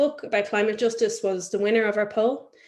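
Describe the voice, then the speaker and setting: In an Irish accent, a woman talks at a medium pitch. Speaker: webinar host. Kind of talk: webinar introduction. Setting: video call webinar.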